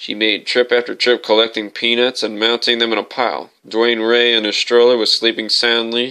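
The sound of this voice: What you hear is an unforced reading voice.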